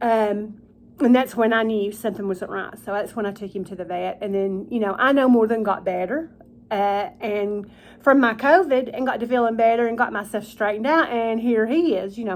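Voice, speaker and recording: Speech comes mumbled in a Southern US accent at a moderate pace. The recording is very clean, its background silent. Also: woman, fairly high pitch for a woman, ordinary pitch variation. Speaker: vlogger. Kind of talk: casual chat. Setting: at home, eating supper in her kitchen. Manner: mumbling.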